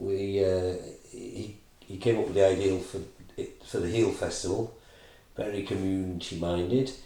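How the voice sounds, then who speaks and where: A man speaks at a moderate pace in a dark, mellow, somewhat breathy tone. His loudness swings widely, and he leaves long, frequent pauses. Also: fairly even intonation. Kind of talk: casual interview.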